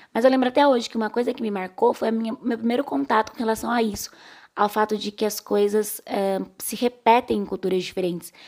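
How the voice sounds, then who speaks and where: Fairly quick in pace, a woman's unremarkable speaking voice sits at a medium pitch with fairly even intonation. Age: 30s. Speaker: podcast host. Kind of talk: casual voice-message book discussion.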